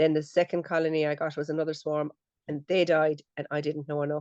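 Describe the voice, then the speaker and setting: A woman with a Limerick accent speaks in a very deep, low pitch and a dark, mellow tone, her intonation monotone and flat, recorded dry and close with no echo against a quiet background. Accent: Irish (Limerick). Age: 60s. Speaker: beekeeper. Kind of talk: casual chat.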